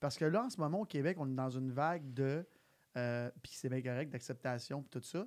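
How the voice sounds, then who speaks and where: Moderate pace, very clean recording, silent background. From Quebec (Sainte-Martine). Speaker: podcast host. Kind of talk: casual chat. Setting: live recording.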